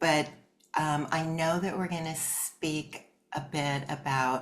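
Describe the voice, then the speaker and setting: A woman with a Californian accent. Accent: General American (Californian). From Southern California, Los Angeles. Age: 60s. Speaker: artist and life coach. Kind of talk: interview.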